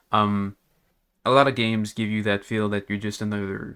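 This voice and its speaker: With a slight non-native accent, a man speaks at a fairly low pitch in a very clean recording with a silent background. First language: not English. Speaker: gaming youtuber. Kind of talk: casual gaming commentary rant. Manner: rambling with many fillers.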